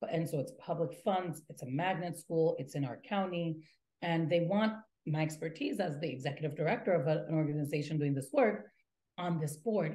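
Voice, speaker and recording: Fairly low and somewhat breathy, a woman's dark, mellow voice moves at a fairly quick pace with ordinary pitch variation. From Latin America, raised in the US from infancy. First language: Spanish. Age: 30s. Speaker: nonprofit executive director. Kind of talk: interview. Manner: halting, with many fillers and repetitions.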